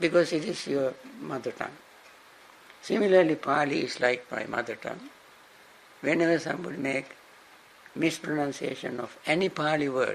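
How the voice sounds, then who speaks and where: A man with a Sri Lankan accent talks at a moderate pace with a fairly high pitch and ordinary pitch variation. He takes long, frequent pauses over light background noise. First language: Sinhala. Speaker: Buddhist monk and teacher; monk teacher. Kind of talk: dharma class lecture; lecture. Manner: halting, repeats and restarts words. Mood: warm, smiling. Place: classroom.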